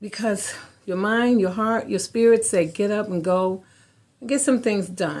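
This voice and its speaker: A woman talks at a fairly slow pace in a normal speaking voice, with medium pitch and ordinary pitch variation. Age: 60s. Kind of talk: personal vlog talk.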